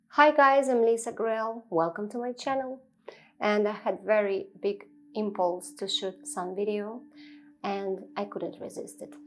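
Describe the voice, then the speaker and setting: With a non-native accent, a woman speaks at a fairly slow pace and a fairly high pitch. Her loudness swings a lot, while her pitch varies in an ordinary way. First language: not English. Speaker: spiritual teacher. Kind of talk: improvised spiritual talk to camera. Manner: halting, with many fillers.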